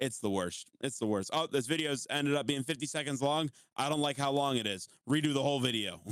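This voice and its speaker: A man with an American accent, very fast pace, fairly high pitch, ordinary pitch variation and very even loudness. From US, West Virginia. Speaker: TikTok creator and streamer. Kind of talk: casual chat.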